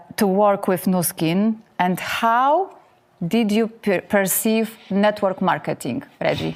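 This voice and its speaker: This woman talks at a very slow pace in a Polish accent. Her pitch is medium, with ordinary variation. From Poland. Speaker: show host. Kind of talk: interview. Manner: halting.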